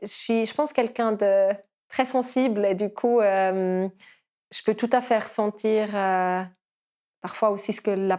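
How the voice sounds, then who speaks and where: Her dark, mellow tone carries at a fairly slow pace with ordinary pitch variation, and the recording is very clean with a silent background. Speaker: kinesiologist. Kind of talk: podcast interview. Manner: hesitant, many fillers.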